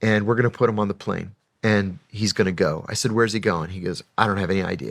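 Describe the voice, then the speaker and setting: In a very clean recording with a silent background, a man uses a plain, everyday voice, fairly low in pitch with ordinary pitch variation. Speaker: former intelligence officer recounting his career. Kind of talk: casual interview storytelling, matter-of-fact.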